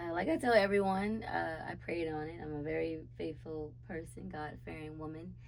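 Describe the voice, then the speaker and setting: Speaking with an American accent at a moderate pace and with hardly any pauses, a woman's voice swings widely in loudness against audible room echo. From South Carolina, Charleston. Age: 20s. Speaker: city council candidate and dancer. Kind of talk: interview. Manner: animated.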